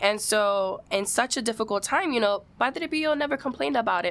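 A woman's fairly high, animated voice with lively intonation at a moderate pace. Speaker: podcast host. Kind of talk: casual chat.

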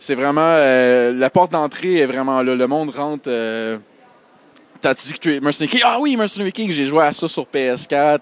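A man with a Quebec accent speaks at a fairly slow pace, his pitch fairly high and its variation ordinary. The sound is dry and close with no echo, with noticeable background noise. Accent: Québécois French. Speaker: indie game developer. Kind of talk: casual chat.

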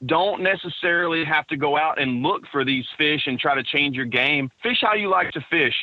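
Spoken in a Texan accent at a moderate pace with hardly any pauses, the speech plays over noticeable background noise. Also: man, fairly high pitch for a man, ordinary pitch variation. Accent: Texan Southern US. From East Texas. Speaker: professional bass angler. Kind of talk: interview.

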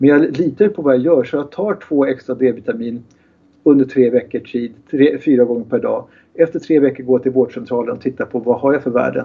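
This is a plain, everyday voice. A man speaks fairly quickly at a medium pitch with ordinary pitch variation. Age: 60s. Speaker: kinesiologist and therapist. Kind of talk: interview.

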